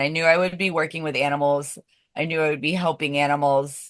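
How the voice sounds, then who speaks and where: Against a quiet background, a woman with an American accent and a very deep, low pitch keeps her intonation fairly even. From United States. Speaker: zookeeper and animal trainer. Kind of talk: casual interview.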